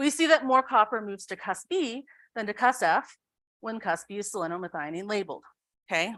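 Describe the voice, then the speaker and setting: Recorded very cleanly over a silent background, with a dry, close sound and no echo, a woman speaks in a fairly high pitch with a bright, sharp tone and very wide pitch swings. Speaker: researcher. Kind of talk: lecture. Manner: fast.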